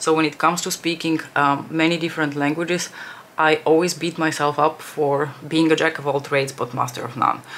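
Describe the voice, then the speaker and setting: Over noticeable background noise, a woman with a very deep, low pitch speaks fairly quickly in a monotone, flat delivery. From Bulgaria, Armenian family. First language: Bulgarian (Armenian at home as a toddler). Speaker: beauty youtuber. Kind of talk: makeup tutorial chat. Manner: casual, many fillers.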